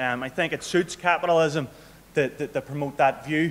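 The speaker has a Northern Irish accent. The pace is moderate, and the pitch varies in an ordinary way. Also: man. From Northern Ireland. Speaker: local politician and activist. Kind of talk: political speech. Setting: stage with audience. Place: hall. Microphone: podium.

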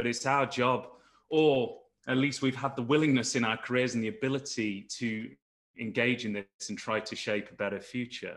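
Against a quiet background, a man with an East Midlands accent speaks with fairly even intonation. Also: moderate pace. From East Midlands, England. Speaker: geoscientist panelist. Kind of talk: panel discussion. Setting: video call. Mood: earnest, reflective.

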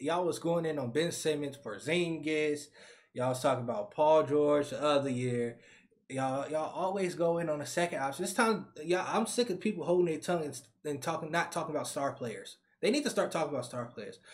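In a quiet background, a man speaks fairly quickly in an animated tone with ordinary pitch variation. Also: fairly high pitch for a man. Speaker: sports reaction YouTuber. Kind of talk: casual reaction video, reacting to game highlights. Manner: animated, excitable, loud, slangy; frustrated, exasperated. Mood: frustrated, ranting.

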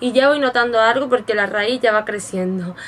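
A woman's unremarkable speaking voice, fairly high and fairly slow, with ordinary pitch variation and light background noise. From Spain. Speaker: beauty vlogger. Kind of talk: product review tutorial. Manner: casual and chatty. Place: home room. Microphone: webcam.

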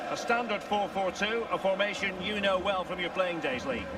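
A man's raised, projected voice, high-pitched for a man, with ordinary pitch variation, at a fairly slow pace, over noticeable background noise. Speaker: football commentator. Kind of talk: live football match commentary, play-by-play.

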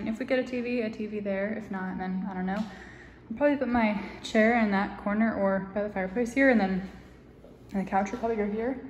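Talking at a fairly quick pace with fairly even intonation, a woman is recorded with audible room echo. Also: medium pitch for a woman, few pauses, slightly mellow tone.

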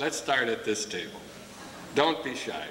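Light background noise and audible room echo surround a man speaking at a fairly slow pace. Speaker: school principal. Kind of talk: ceremony emcee. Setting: stage with audience. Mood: warm, proud. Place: hall.

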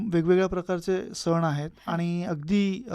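A man's high-pitched voice with a dark, mellow tone and monotone, flat intonation, on a very clean recording with a silent background. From Ratnagiri, Konkan, Maharashtra. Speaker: software company director. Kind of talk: radio interview.

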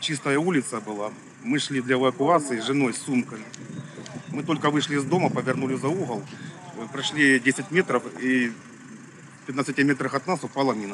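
A man talks at a moderate pace with ordinary pitch variation. The sound is dry with no echo, though noticeable background noise is present. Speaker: witness. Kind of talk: interview answer. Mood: grave, weary. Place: street.

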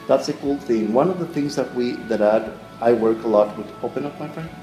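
A man talks with ordinary pitch variation as clear music sounds in the background. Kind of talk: demonstration explanation to camera. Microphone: phone near.

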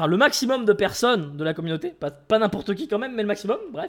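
Lively intonation rises and falls over a quiet background. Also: man. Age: 20s. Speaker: gaming YouTuber and streamer; gaming YouTuber, streamer. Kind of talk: casual gameplay commentary. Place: home room.

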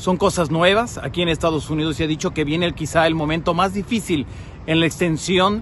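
A man's fairly high voice, dry sound with no echo, light background noise underneath. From Mexico, Jalisco (Tepatitlán); Jalisco, Mexico. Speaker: TV news correspondent. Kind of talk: public service message. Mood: earnest, concerned. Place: street. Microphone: phone near.

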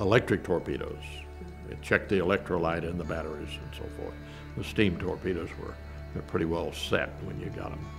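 Clear music plays behind a man whose very deep, low voice moves at a moderate pace with fairly even intonation and long, frequent pauses. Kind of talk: interview answer. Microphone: lapel.

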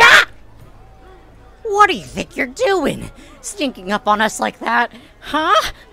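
A put-on character voice at a fairly slow pace, with long, frequent pauses and music in the background. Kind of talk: in-character roleplay dialogue. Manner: blustering, dim.

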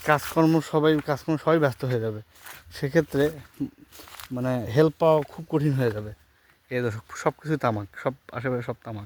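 Here a man at a medium pitch has a plain, everyday voice with ordinary pitch variation. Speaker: orchard owner and YouTuber. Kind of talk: garden walkthrough tutorial. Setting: outdoors in orchard.

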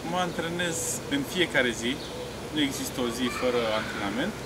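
Over loud background noise, a man talks at a moderate pace with ordinary pitch variation. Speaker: interviewee. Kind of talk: interview answer. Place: stadium.

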